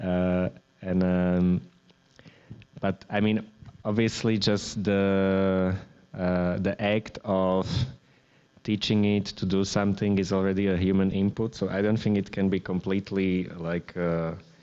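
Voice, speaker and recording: A man with a Slovak accent, a very deep, low pitch and a dark, mellow tone, monotone, flat intonation, very even loudness, a fairly slow pace, and long, frequent pauses. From Slovakia. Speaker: artist. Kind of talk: public artist talk. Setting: gallery event with audience. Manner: hesitant, many fillers and restarts.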